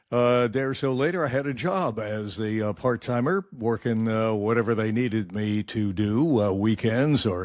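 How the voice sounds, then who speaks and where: A man with a Midwestern accent speaks at a medium pitch. His pace is moderate and his pitch varies in an ordinary way. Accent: American Midwest. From Michigan. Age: 80s+. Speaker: retired radio newsman. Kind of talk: interview.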